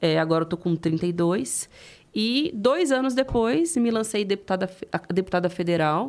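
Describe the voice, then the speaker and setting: Speaking at a fairly slow pace in an ordinary speaking voice, a woman uses lively intonation at a medium pitch, captured in a very clean recording with a silent background. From interior of São Paulo state, Presidente Prudente. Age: 30s. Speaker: politician. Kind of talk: interview.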